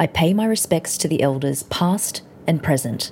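At a moderate pace and with ordinary pitch variation, the speaker talks with an Australian accent. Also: woman. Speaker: food podcast host. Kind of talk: casual chat and narration. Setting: home kitchen. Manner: animated.

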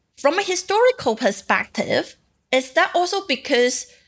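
A woman speaks with a Cantonese accent at a moderate pace, with ordinary pitch variation. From Macau. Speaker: journalist and podcast co-host. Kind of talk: casual podcast chat. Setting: remote recording.

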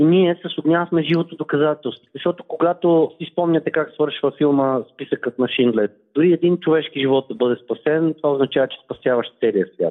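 This man has a normal speaking voice pitched fairly high. He moves at a moderate pace with hardly any pauses. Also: ordinary pitch variation. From Bulgaria, Velingrad. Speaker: transplant athlete, former journalist. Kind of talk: phone interview.

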